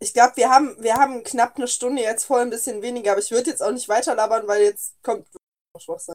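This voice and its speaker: Speaking at a very fast pace, a woman with a high pitch keeps her intonation fairly even while her loudness swings widely. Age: 20s. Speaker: podcast co-host. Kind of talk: casual chat.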